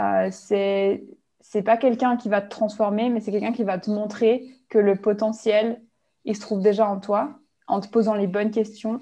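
At a fairly slow pace, a woman with a medium pitch speaks in a dark, mellow tone with monotone, flat intonation. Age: 20s. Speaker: life coach. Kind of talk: interview.

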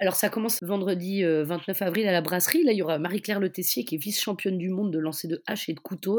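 Speaking at a very fast pace, a woman has a medium pitch and ordinary pitch variation. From Brittany (Finistère). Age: 40s. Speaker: feminist activist and festival organizer. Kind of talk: casual interview. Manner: halting, many hesitations.

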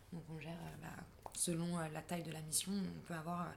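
A somewhat breathy woman's voice, fairly low in pitch, with audible room echo. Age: 20s. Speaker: humanitarian logistician. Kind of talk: interview.

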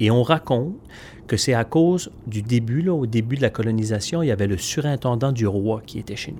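A dark, mellow tone at a fairly quick pace, with ordinary pitch variation and big swings in loudness. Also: man, medium pitch for a man. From Magdalen Islands, Quebec. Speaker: storyteller. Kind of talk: interview. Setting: event venue. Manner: halting, with repetitions.

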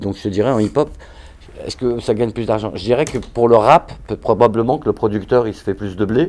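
Speaking at a moderate pace, a man has an ordinary speaking voice with a fairly low pitch. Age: 50s. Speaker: hip-hop choreographer and dancer. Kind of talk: interview.

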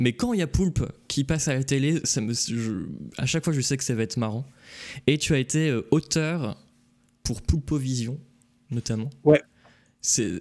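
Long, frequent pauses break up a man's fairly slow speech. His pitch is medium, with ordinary variation. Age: 20s. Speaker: video game magazine stream host. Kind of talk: casual chat on live stream. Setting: live Twitch stream.

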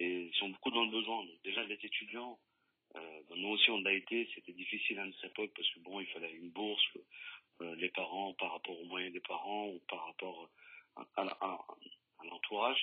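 There are big swings in loudness as a man talks at a moderate pace. He has an ordinary speaking voice, pitched fairly low. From France, Lyon. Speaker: local politician. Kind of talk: radio interview.

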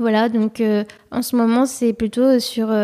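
A woman's high-pitched voice, dark and mellow in tone, fairly slow and monotone with flat intonation, on a very clean recording with a silent background. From abroad, outside France. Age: 20s. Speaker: civic service volunteer at a youth radio. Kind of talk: casual interview. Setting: near a radio studio. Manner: hesitant, many fillers.

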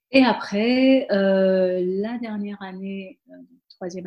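A woman's voice with ordinary pitch variation. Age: 30s. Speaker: systems engineer. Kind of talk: casual interview.

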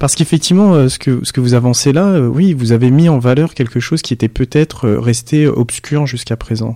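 Here a man talks at a moderate pace with a medium pitch. His tone is dark and mellow. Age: 40s. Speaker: podcast host. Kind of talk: interview.

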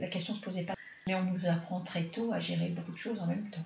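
Very fast speech from a woman at a fairly low pitch, with vocal fry, ordinary pitch variation and audible room echo. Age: 60s. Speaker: mother of the host. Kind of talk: personal testimony in interview.

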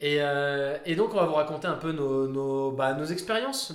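At a moderate pace, the speech comes with noticeable background noise and audible room echo. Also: man. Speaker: football podcast host. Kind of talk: casual chat.

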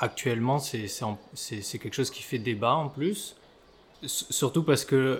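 The speaker is a man with a medium pitch and ordinary pitch variation. He talks fairly slowly. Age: 30s. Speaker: osteopath. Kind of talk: casual interview. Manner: halting, many repetitions and fillers.

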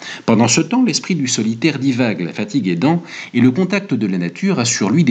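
The speaker is doing plain reading aloud.

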